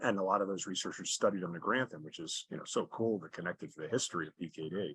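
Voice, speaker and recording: A man's normal speaking voice, fairly low in pitch, with ordinary pitch variation. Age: 60s. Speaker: charity fundraiser cyclist. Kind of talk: interview. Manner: conversational with frequent fillers and repetitions.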